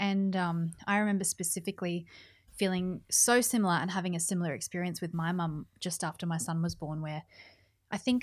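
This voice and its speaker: Speaking at a moderate pace with an Australian accent, a woman uses a fairly low pitch with ordinary variation, recorded very cleanly against a silent background. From New South Wales, Australia. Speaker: podcast host. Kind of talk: casual interview.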